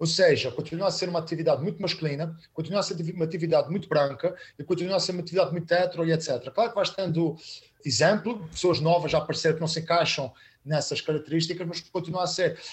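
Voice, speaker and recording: At a very fast pace, a man talks in a high pitch. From Azores (São Miguel), Portugal. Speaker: stand-up comedian. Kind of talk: casual chat. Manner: animated.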